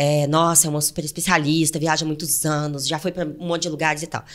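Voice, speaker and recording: With a Goiás accent, a woman talks at a very fast pace on a very clean recording with a silent background. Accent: Goiás countryside. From interior of Goiás, Brazil. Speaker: travel podcast co-host. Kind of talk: casual chat.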